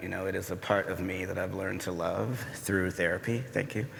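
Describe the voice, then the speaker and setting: Audible room echo surrounds a man with a fairly low pitch and an American accent. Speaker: poet. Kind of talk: panel discussion. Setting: stage with audience. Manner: halting.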